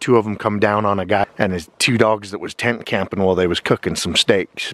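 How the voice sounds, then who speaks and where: This man has an ordinary speaking voice, fairly low in pitch, with fairly even intonation at a moderate pace, and the sound is dry with no echo. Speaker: outdoor vlogger. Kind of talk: casual vlog chat. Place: forest. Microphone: phone near.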